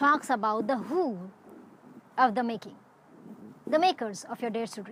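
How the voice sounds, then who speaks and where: A woman with a high pitch and lively intonation speaks at a moderate pace over noticeable background noise. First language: not English. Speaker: web series creator. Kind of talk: scripted monologue.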